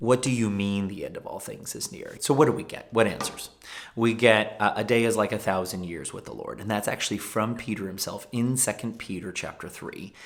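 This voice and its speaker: A man speaks in a normal speaking voice at a medium pitch with ordinary pitch variation. His pace is fairly quick, and his loudness swings widely. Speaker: pastor. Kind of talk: informal bible teaching video.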